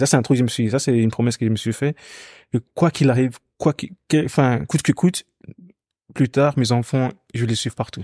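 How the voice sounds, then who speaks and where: Medium in pitch with a dark, mellow tone, a man speaks at a fairly quick pace with ordinary pitch variation and long, frequent pauses. The recording is very clean with a silent background and a dry, close sound with no echo. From Ghana, moved to Belgium at 9-10. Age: 20s. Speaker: singer. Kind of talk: interview conversation.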